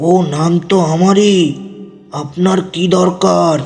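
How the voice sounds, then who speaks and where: A man puts on a high-pitched character voice. A clear echo surrounds it. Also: moderate pace. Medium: audio drama. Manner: curt, brusque.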